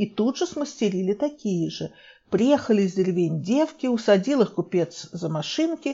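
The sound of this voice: An unforced reading voice delivers the words, with lively intonation.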